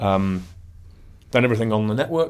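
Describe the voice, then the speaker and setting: This is a man speaking with a northern English accent. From northern England. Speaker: web performance consultant; interview guest. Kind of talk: interview. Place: studio. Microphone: studio mic.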